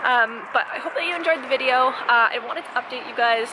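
A woman's high pitch with ordinary pitch variation, over noticeable background noise. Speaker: vlogger. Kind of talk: casual vlog chat. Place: garden. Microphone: phone near.

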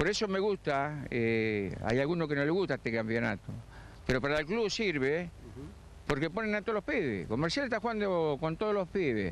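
The speaker's pitch swings very widely at a fairly quick pace while the loudness stays very even. The sound is dry with no echo, over light background noise. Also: man, fairly high pitch for a man. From Argentina. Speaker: retired amateur footballer; interviewee. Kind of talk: live TV interview. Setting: outdoors on a football pitch. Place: stadium. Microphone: handheld.

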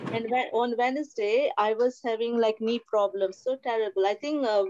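A woman talks at a moderate pace with a fairly high pitch and ordinary pitch variation, with light background noise. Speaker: church member giving testimony. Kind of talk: testimony. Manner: halting. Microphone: video call.

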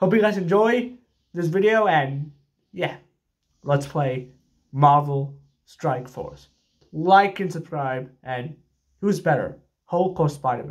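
Against a quiet background, a man talks at a fairly slow pace in a somewhat breathy voice with lively intonation. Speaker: gaming vlogger. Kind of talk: casual vlog chat. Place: home room. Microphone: studio mic.

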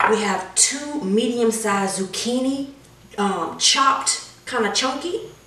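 A very slow pace and ordinary pitch variation mark this voice. Audible room echo surrounds it. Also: woman. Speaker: home cook host. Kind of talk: cooking tutorial. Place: kitchen. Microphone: camera far.

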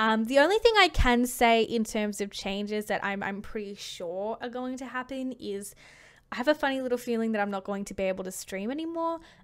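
A woman talks at a fairly quick pace, her loudness swinging widely. Her pitch varies in an ordinary way. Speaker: gaming YouTuber; streamer. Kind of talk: unscripted monologue to camera. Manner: hesitant, pausing; laughs often. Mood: thoughtful, slightly hesitant. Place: home room. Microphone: studio mic.

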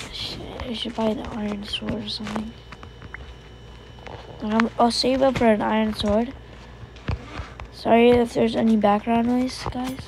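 A woman speaks in a monotone, flat intonation with long, frequent pauses over noticeable background noise. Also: moderate pace. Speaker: gamer. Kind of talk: casual gameplay commentary.

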